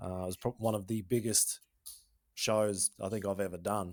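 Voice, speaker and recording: An Australian-accented man on a very clean recording with a silent background. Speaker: podcast host, former freestyle motocross rider. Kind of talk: podcast interview.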